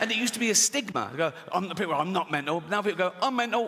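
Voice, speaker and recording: Over noticeable background noise, a man speaks in an animated tone. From England. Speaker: stand-up comedian. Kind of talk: stand-up comedy to a live audience. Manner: conversational, animated, jokey.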